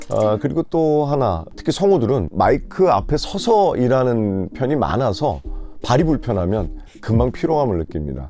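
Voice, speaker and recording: At a moderate pace, a man with a medium pitch speaks in very wide pitch swings. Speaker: voice actor and TV narrator. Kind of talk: interview answer, promotional testimonial. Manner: relaxed, conversational.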